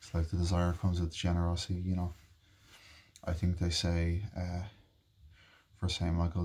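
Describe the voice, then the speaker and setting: A soft-spoken man with a very deep, low pitch, a dark, mellow, somewhat breathy tone and monotone, flat intonation, on a very clean recording with a silent background. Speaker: vlogger. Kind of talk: casual chat. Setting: bedroom.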